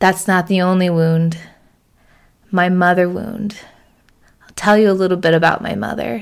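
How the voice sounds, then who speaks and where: A woman speaks at a moderate pace with a medium pitch. She leaves long, frequent pauses. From rural Oregon. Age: 30s. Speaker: podcast host, social worker and coach. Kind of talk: solo monologue, personal story. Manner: animated.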